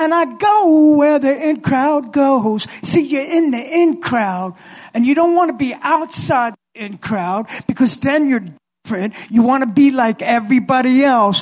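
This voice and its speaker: At a fairly slow pace, a man with an extremely high-pitched voice talks in an animated tone with lively intonation. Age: 70s. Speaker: motivational speaker to teens. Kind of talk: testimony. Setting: stage with audience.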